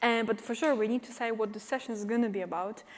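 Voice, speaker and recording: Fairly high in pitch, a woman speaks with a Polish accent. The recording is very clean, with a silent background. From Poland. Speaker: cybersecurity expert and company CEO. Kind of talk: conference talk. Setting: stage with audience. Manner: animated.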